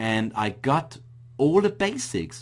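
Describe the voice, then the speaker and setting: A man speaks with an Austrian accent. His pitch varies in an ordinary way. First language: German. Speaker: internet marketing entrepreneur. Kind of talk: webinar presentation. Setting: online webinar.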